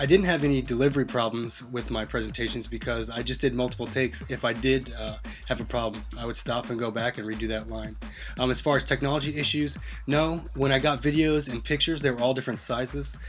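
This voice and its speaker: A man talking at a very fast pace over music in the background. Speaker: student and teacher. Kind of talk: self-reflective class presentation. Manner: monotone; hesitant with many fillers.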